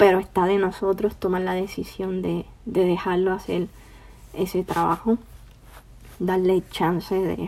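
A woman talks at a very slow pace in a medium pitch, her intonation monotone and flat. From Puerto Rico. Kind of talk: devotional podcast monologue. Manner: hesitant, many fillers.

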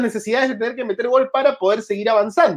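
An animated man speaks with an extremely high pitch. His pitch variation is ordinary. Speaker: football podcast host. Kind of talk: sports news commentary. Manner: halting, self-described stutter.

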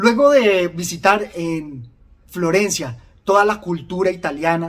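Lively intonation marks this man's very slow delivery. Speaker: video book reviewer. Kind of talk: literary audiobook reading of novel passages, interspersed with commentary. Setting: online video channel. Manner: read-aloud narration, measured and expressive in the novel's reflective tone; formal and reflective.

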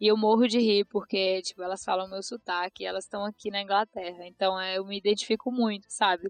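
A woman with a medium pitch talks at a fairly quick pace in a monotone, flat intonation, with hardly any pauses and a dry, close sound lacking echo. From Brazil, interior of Ceará (Tianguá). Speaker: market researcher. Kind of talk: casual chat.

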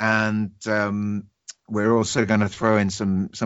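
A man with a British accent talks at a fairly slow pace in a fairly low pitch. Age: 30s. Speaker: podcast host. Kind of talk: casual chat.

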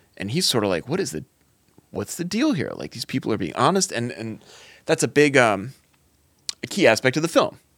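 In a very clean recording with a silent background, a man of medium pitch speaks at a fairly quick pace with vocal fry, very wide pitch swings, big swings in loudness and long, frequent pauses. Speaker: podcast co-host. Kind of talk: casual banter.

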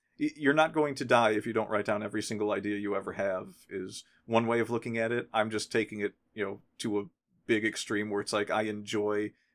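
The recording is very clean with a silent background. A man with an ordinary speaking voice speaks at a fairly low pitch with fairly even intonation. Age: 40s. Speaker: podcast host. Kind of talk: casual chat.

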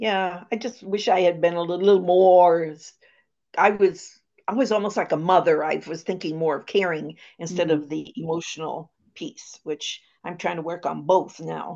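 Speaking at a moderate pace, a woman uses a fairly low voice with a dark, mellow tone, fairly even intonation, and big swings in loudness. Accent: American. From Maine, US. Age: 80s. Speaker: guest, retired missionary and family caregiver. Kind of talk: casual interview, personal storytelling.

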